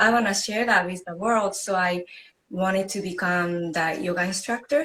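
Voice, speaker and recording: The speaker has a Japanese accent and a moderate pace. Pitch varies in an ordinary way. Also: woman. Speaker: yoga instructor. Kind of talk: interview. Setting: video call.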